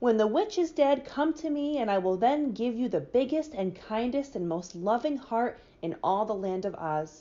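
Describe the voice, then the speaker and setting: A woman puts on a gruff, growling character voice at a fairly high pitch. She keeps a moderate pace with hardly any pauses. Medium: read story.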